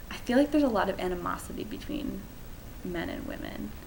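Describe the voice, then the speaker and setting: A woman with an American accent speaks at a moderate pace, with noticeable background noise and audible room echo. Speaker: study abroad student. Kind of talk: testimony.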